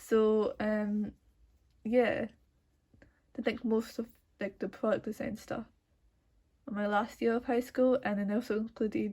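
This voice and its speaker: Somewhat breathy, the voice keeps a fairly even intonation and leaves long, frequent pauses. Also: woman. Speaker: art student. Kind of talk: tutorial. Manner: casual with many fillers.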